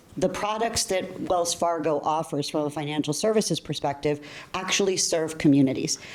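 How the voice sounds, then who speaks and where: A woman speaks at a moderate pace in a very deep, low voice with ordinary pitch variation, and noticeable background noise is present. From US, child of Colombian immigrants. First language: Spanish. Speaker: bank technology executive. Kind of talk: panel discussion.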